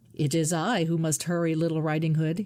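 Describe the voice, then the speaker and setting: The speaker puts on a character voice at a middle pitch. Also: fairly quick pace. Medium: read story. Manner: sly, falsely polite.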